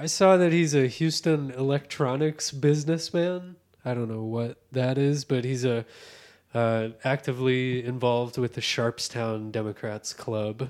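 With ordinary pitch variation, an unremarkable speaking voice proceeds at a fairly slow speed. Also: man, medium pitch for a man. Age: 30s. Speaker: podcast co-host. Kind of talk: casual chat.

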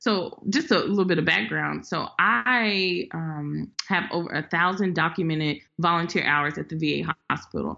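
This voice, with an American accent, has vocal fry. It moves at a moderate pace with ordinary pitch variation. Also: woman, fairly low pitch for a woman. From Memphis, Tennessee. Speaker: community organizer. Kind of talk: interview.

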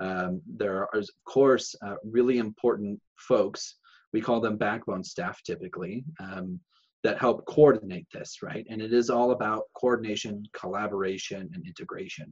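A man with a plain, everyday voice and an American accent speaks at a moderate pace. His pitch is fairly low, and his loudness swings widely. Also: ordinary pitch variation. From Illinois, US. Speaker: education foundation strategy officer. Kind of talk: casual interview. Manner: frequent fillers (um, uh).

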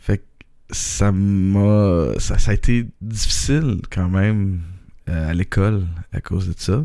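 A man with a Quebec accent speaks in a fairly low, dark and mellow voice, his pitch rising and falling in an ordinary way. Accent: Québécois French. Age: 30s. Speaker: podcaster. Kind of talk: personal monologue. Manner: halting.

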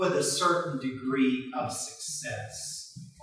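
Pitch varies in an ordinary way throughout a natural reading voice.

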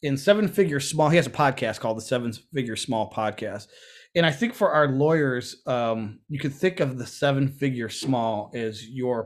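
In a very clean recording with a silent background, a man with a normal speaking voice talks at a moderate pace, fairly high in pitch with lively intonation. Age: 50s. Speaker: podcast co-host. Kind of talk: casual chat.

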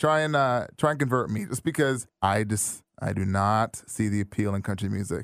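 Speaking at a moderate pace with hardly any pauses, a man has an unremarkable speaking voice, fairly low in pitch with ordinary pitch variation, on a very clean recording with a silent background. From Brampton, Ontario, Canada. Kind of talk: casual conversation. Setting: studio.

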